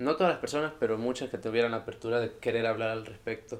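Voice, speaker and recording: This is a man speaking. His pitch is medium. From El Salvador. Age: 20s. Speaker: university student. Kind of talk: interview.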